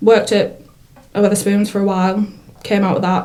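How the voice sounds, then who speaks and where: Over noticeable background noise and audible room echo, a woman speaks. Her intonation is flat and monotone, in a Teesside accent. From northern England, Middlesbrough. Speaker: lettings negotiator. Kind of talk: casual interview chat.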